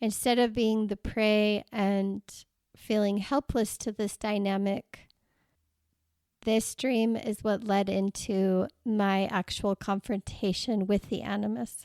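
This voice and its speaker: A woman speaks at a very slow pace with a medium pitch and fairly even intonation. The sound is dry and close with no echo, in a very clean recording with a silent background. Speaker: podcast host and coach. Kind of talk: personal reflective podcast monologue. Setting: solo podcast recording. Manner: voice goes up and down, shaky.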